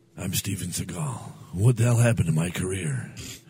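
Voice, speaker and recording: A man speaks with noticeable background noise beneath him. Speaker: podcast co-host. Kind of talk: radio dj patter: mock morning-show banter, playful and jokey, with sign-off catchphrases.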